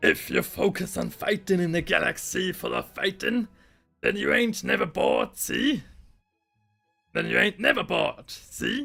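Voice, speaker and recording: Putting on a raspy character voice, a man talks at a moderate pace while faint music plays in the background. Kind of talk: rough, slangy. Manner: gruff, growling.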